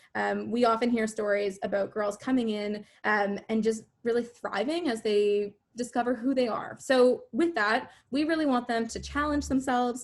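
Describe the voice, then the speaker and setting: This woman speaks with a Canadian accent in an ordinary speaking voice, fairly high in pitch with ordinary pitch variation. She talks at a moderate pace with hardly any pauses. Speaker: youth organization volunteer. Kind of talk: online info session presentation.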